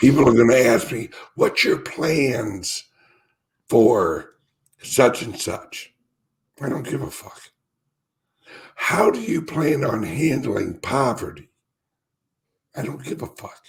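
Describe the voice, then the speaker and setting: Speaking at a very slow pace with long, frequent pauses, a man uses lively intonation, big swings in loudness and vocal fry. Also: medium pitch for a man. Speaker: crypto commentator. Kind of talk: podcast interview. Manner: animated.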